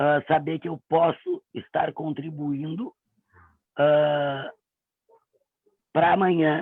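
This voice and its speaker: A woman speaks at a very slow pace with long, frequent pauses. Her very deep, low pitch keeps a fairly even intonation. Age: 40s. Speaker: voice performer. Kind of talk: self-introduction. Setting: livestream.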